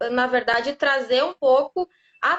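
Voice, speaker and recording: Her high-pitched voice moves at a moderate pace, and this woman shows ordinary pitch variation. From southern Brazil, Rio Grande do Sul. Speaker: lawyer specializing in data protection. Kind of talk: live interview, explanatory. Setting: live stream on social media.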